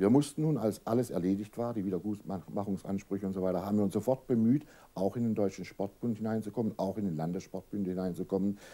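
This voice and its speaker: Very fast in pace, this man's fairly low voice has a dark, mellow tone and ordinary pitch variation. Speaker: association official, interviewee; interviewee. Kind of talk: formal interview answers. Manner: formal, serious, explanatory. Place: home room.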